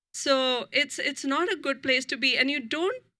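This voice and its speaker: A woman projects a raised voice with a high pitch, a bright, sharp tone and lively intonation. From India, New Delhi. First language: Hindi. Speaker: author. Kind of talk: author talk.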